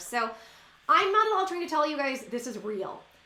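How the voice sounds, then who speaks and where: With noticeable background noise and audible room echo, a woman talks at a fairly quick pace in an animated tone with very wide pitch swings. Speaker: YouTuber. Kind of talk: casual vlog monologue. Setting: at home. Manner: fast.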